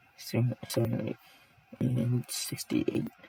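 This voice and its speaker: Over noticeable background noise, a man speaks at a very slow pace in a dry, close sound with no echo. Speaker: 3D software tutorial creator. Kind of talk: tutorial. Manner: casual, halting.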